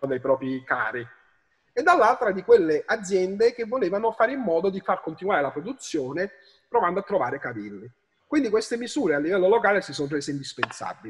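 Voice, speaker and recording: Speaking very fast, a man's high voice swings very widely in pitch. The background is quiet. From Naples, Italy. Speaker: history professor. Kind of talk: interview answer. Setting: remote call. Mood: earnest, somewhat argumentative. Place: home room. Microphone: video call.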